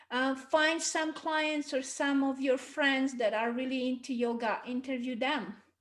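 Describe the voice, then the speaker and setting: With a non-native accent, a woman speaks at a fairly slow pace and a high pitch, keeping fairly even intonation and hardly any pauses. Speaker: marketing consultant. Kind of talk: webinar talk. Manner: conversational.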